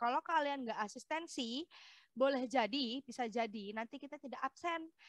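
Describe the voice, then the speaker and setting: Recorded dry and close with no echo, a woman speaks at a moderate pace. Her high pitch shows ordinary variation. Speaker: architecture lecturer. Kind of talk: lecture.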